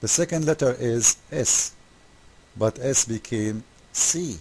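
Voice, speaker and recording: Dark and mellow in tone, a man's medium-pitched voice carries an Arabic accent and lively intonation. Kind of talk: commentary video critiquing a website. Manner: animated, mocking; halting, many fillers.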